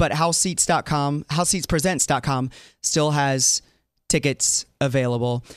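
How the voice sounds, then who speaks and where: A man's normal speaking voice, fairly high in pitch, with an American accent, a moderate pace, ordinary pitch variation, and a dry, close sound with no echo on a very clean recording with a silent background. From US South. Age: 40s. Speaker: fill-in talk show host. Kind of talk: casual chat.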